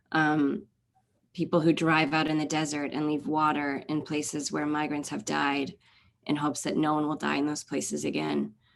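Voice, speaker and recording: In an American accent, a woman with a very deep, low pitch speaks in a monotone, flat way at a moderate pace against a quiet background. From US, Maryland. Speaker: novelist. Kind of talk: interview.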